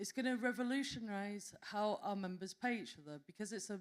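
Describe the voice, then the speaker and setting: Speaking with a Yorkshire accent, a woman keeps a moderate pace and ordinary pitch variation. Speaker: association representative presenting at a conference panel. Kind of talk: conference panel presentation.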